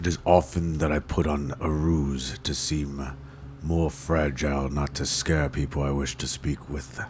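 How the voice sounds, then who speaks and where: Using a put-on character voice that is very deep and low, a man talks at a moderate pace against clear background noise. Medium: actual play. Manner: terse, measured, formal.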